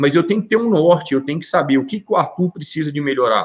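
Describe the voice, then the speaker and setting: Using a fairly high pitch, a man speaks with ordinary variation in his pitch. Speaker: volleyball coach. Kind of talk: casual chat. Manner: animated; loud.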